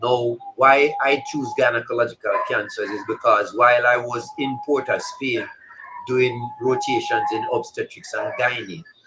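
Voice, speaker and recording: A man talks rather slowly as noticeable noise runs in the background. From Jamaica, Kingston. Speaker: cancer doctor. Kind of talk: interview.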